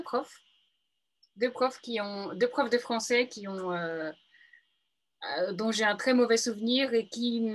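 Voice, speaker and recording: A woman's fairly high voice at a very slow pace against a quiet background. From Paris region, France. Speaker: book influencer. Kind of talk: interview. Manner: halting.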